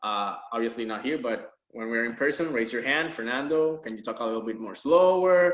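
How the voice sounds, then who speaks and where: A man talks at a fairly quick pace with lively intonation, and audible room echo surrounds his voice. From Puerto Rico. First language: Spanish. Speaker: university biology lab instructor. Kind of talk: course introduction video lecture. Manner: casual, laid-back.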